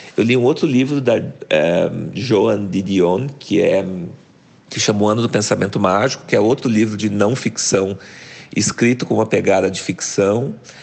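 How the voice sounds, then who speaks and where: Against noticeable background noise, a man speaks at a moderate pace with a fairly low pitch and ordinary pitch variation. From Brazil, interior of Paraná (near Londrina). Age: 40s. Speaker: journalist and writer. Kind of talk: interview.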